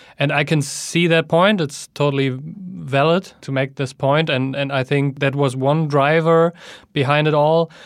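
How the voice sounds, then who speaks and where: A man's fairly high voice, a normal speaking voice, with fairly even intonation at a fairly slow pace. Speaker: magazine editor and writer. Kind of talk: casual interview chat.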